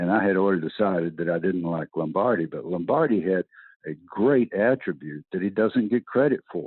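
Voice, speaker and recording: A very deep, low male voice with a Southern US accent, lively intonation and a fairly quick pace. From US South. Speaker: retired football coach. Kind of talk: interview. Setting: podcast.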